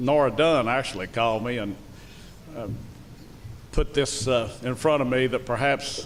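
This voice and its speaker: The speaker uses a Southern US accent and keeps a moderate pace. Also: man. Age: 70s. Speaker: school superintendent. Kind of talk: public speech. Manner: halting.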